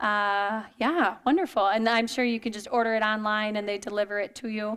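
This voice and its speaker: A woman talks at a fairly quick pace with fairly even intonation in a plain, everyday voice. The recording is very clean, with a silent background. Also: fairly high pitch for a woman. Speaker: exercise and wellness presenter. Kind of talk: lecture.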